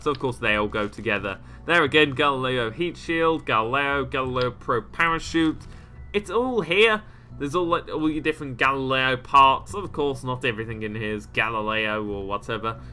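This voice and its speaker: A man's medium-pitched voice with lively intonation, music in the background. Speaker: gaming YouTuber. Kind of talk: game mod showcase commentary. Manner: fast.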